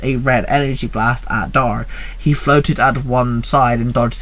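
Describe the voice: Reading aloud, plain and simple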